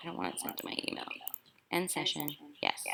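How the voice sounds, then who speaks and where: This is a woman speaking. There is noticeable background noise. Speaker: elementary school teacher. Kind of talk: tutorial. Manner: fast; animated.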